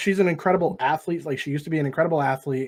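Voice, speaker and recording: In a very clean recording with a silent background, a man with an American accent speaks fairly quickly in an animated tone, high in pitch with ordinary pitch variation. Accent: Boston accent, comes out at random times. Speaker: sports podcast host. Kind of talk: casual chat.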